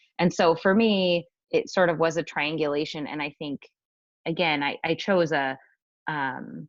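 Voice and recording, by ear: This woman's voice is low-pitched, with fairly even intonation.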